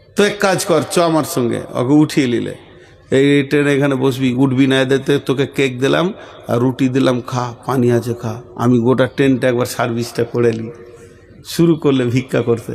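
Pitched at a medium level, a man's voice shows ordinary pitch variation. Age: 50s. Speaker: Islamic preacher. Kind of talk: sermon. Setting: religious gathering with live audience. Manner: animated.

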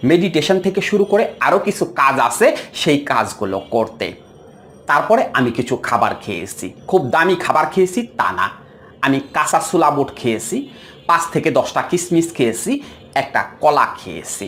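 Very wide pitch swings run through a man's voice, which sits fairly high for a man. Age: 40s. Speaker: counselor. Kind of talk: health advice monologue.

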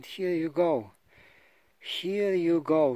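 Very slowly and at a fairly high pitch, a man speaks in dry sound with no echo. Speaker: hiker filming. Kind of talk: casual talk to camera. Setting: outdoors. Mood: wry joking. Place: open country. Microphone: phone near.

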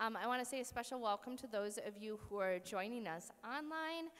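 A woman talks at a moderate pace with a bright, sharp tone. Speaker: pastor welcoming an audience. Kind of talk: event welcome announcements. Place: church. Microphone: podium.

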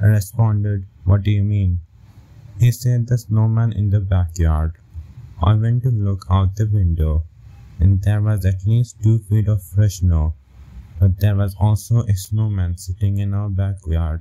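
Speaking at a fairly slow pace, a man uses a serious tone, his fairly low, somewhat breathy voice keeping a fairly even intonation. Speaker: story narrator. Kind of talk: horror story narration, first-person scripted telling. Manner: slow, hushed, suspenseful pacing; serious, measured, building dread.

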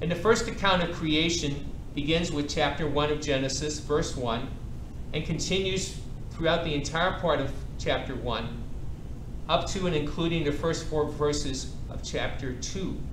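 A man at a moderate pace, fairly even intonation, noticeable background noise. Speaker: priest teaching a Bible class. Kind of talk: lecture. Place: hall.

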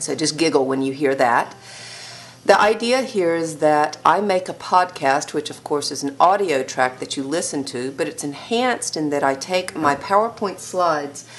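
A woman's very deep, low voice with lively intonation, at a moderate pace, over light background noise. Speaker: teacher. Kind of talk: lecture. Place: home room.

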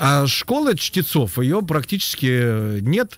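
This man's voice is somewhat breathy. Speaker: former radio and TV host, writer and poet. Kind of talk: casual radio interview chat. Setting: radio studio.

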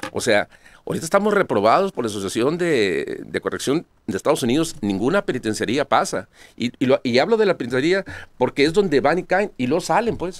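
A man with a fairly high pitch and vocal fry swings his pitch very widely, in a dry sound with no echo over a quiet background. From Sonora, Mexico (Cananea); Sonora, Mexico. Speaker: lawyer and political candidate; interview guest. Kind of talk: interview. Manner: halting, many repetitions. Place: studio. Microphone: podium.

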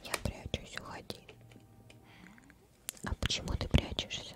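Whispering and soft-spoken, a woman talks at a very slow pace over noticeable background noise. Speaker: game streamer. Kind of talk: reading game dialogue aloud, casual commentary. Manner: soft whisper, hidden creature's lines. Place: home room.

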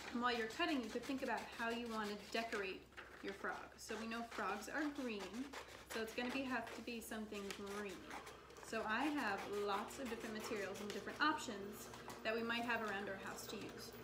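Loud background noise runs underneath. Over it, a woman speaks at a fairly quick pace. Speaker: craft teacher. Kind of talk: tutorial. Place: kitchen. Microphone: camera far.

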